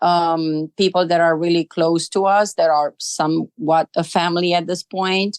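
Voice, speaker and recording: Fairly slow speech with a Romanian accent and fairly even intonation, in a dry, close sound with no echo. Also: woman. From Romania, Arad. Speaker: immigrant interviewee. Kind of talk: interview. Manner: hesitant, many fillers.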